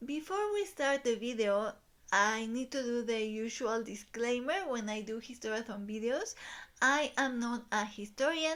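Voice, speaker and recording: In a Spanish accent, a woman speaks at a high pitch and a moderate pace with ordinary pitch variation, on a very clean recording with a silent background. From Mexico. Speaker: book YouTuber. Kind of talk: video essay / commentary. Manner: hesitant, many filler ums.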